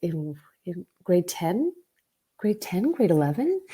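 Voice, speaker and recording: Fairly low for a woman, this voice has a dark, mellow tone and a Canadian accent. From Vancouver, Canada. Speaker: actor. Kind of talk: interview. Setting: podcast. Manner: halting.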